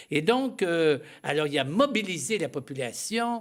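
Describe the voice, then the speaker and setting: A man's lively intonation comes across on a very clean recording with a silent background. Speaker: missionary priest. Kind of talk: studio interview. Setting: TV studio. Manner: halting, with many hesitations.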